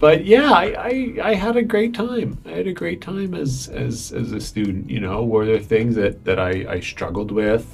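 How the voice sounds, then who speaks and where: A man with a Canadian accent at a moderate pace, hardly any pauses, and music in the background. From Canada, Fredericton, New Brunswick. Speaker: professor. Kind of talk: casual chat. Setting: studio. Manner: halting.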